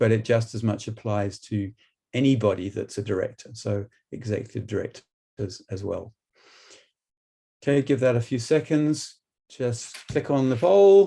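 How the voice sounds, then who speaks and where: A man speaks at a moderate pace in a medium pitch, his tone dark and mellow and somewhat breathy. His intonation is lively, broken by long, frequent pauses. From UK. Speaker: business trainer and board director. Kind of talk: webinar presentation. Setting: online webinar.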